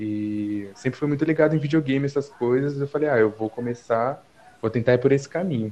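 His pitch is medium and varies in an ordinary way. This man speaks fairly quickly. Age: 20s. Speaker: videomaker and film student. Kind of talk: casual chat.

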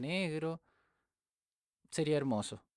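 In a Chilean accent, a man with fairly high pitch and ordinary pitch variation speaks at a fairly slow pace, the sound dry and close with no echo on a very clean recording with a silent background. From Chile, Viña del Mar. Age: 20s. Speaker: podcast host. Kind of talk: casual monologue.

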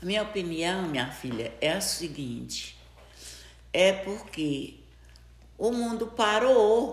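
Very slowly, with long, frequent pauses, a woman at medium pitch makes very wide pitch swings over noticeable background noise. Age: 70s. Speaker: grandmother. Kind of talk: casual chat. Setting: at her home.

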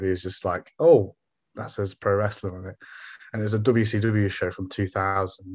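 Against a quiet background, a man with an East Midlands accent speaks in a monotone, flat intonation. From England, Derby. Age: 20s. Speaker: former pro wrestler. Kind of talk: casual chat.

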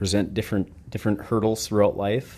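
A man with an Upper Midwest accent speaks in a dark, mellow tone. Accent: Upper Midwest American. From Minnesota. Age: 30s. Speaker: tattoo artist, podcast co-host. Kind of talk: casual chat.

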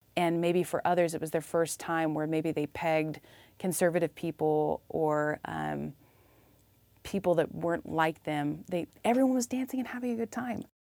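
A woman with an American accent, fairly low pitch, dark, mellow tone, lively intonation, and moderate pace, in a dry, close sound with no echo on a very clean recording with a silent background. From US Midwest (small town Illinois). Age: 30s. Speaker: community arts coordinator. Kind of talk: interview conversation. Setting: rehearsal room at a theater.

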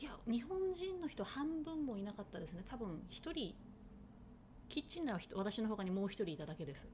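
Her fairly high voice swings very widely in pitch as the woman talks at a fairly quick pace. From Tochigi, Japan. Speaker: chef, soba maker. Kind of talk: interview.

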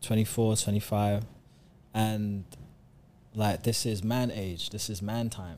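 Speaking very slowly with long, frequent pauses, a man with a London accent has a dark, mellow tone, fairly low pitch, and fairly even intonation. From South London. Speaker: recording artist. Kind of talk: casual chat.

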